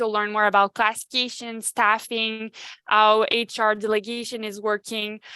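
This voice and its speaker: In a French accent, the speaker talks at a fairly slow pace with a bright, sharp tone, and the sound is dry and close with no echo. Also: woman. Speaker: human resources advisor. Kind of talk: virtual Q&A webinar. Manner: halting, many fillers.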